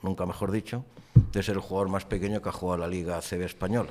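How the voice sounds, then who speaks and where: The man's fairly low voice carries a dark, mellow tone and fairly even intonation. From Spain, Barcelona (Catalonia). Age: 60s. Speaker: former pro basketball player, businessman. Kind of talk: podcast interview. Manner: talkative.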